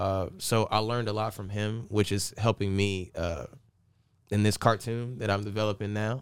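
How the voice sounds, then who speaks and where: A man's fairly low voice in a Southern US accent, monotone and flat, at a moderate pace, in a very clean recording with a silent background. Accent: Southern US (Georgia). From US South, Augusta/Aiken area (Georgia/South Carolina). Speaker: DJ and entrepreneur. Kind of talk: interview.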